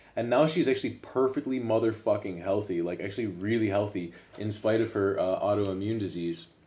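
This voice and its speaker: In an American accent, a man with a plain, everyday voice and fairly low pitch speaks at a fairly quick pace, with ordinary pitch variation and hardly any pauses. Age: 30s. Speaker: podcast co-host. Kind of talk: casual chat.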